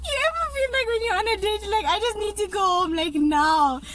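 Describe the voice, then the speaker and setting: The speaker has a Durban accent, and noticeable background noise is present. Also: woman. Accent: Durban South African. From South Africa, Durban. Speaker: YouTuber telling a dating story. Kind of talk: casual storytime chat. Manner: animated.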